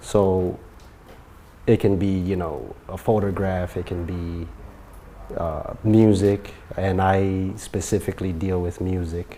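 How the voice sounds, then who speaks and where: A man speaks at a very slow pace in a very deep, low voice. His intonation is monotone and flat, with long, frequent pauses. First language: not English. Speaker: music producer and royalty specialist. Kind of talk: casual interview.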